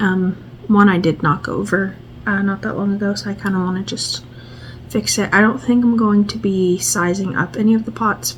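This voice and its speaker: Soft-spoken delivery at a moderate pace with lively intonation, over noticeable background noise. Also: woman. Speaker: plant vlogger. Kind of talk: casual vlog tutorial. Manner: quiet, soft-spoken; hesitant, many fillers.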